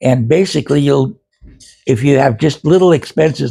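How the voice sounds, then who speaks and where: At a moderate pace, a man speaks somewhat breathily with a fairly high pitch and ordinary pitch variation. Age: 80s+. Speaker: video blogger on investing. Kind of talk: casual monologue to camera. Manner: halting, many fillers and repeats.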